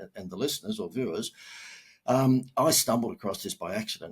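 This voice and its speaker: The pace is fairly quick. The speaker is a man with an Australian accent. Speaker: marketing expert. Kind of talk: podcast interview. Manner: casual, with many fillers.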